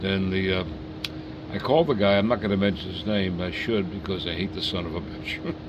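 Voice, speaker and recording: A fairly low-pitched man at a fairly quick pace, with audible room echo and noticeable background noise. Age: 80s+. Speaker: model train collector. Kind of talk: casual chat. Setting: home basement.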